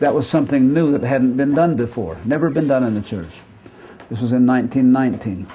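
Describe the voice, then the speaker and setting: Heard with audible room echo, a man with an American accent speaks at a medium pitch and moderate pace with ordinary pitch variation. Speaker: retiring professor. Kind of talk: lecture.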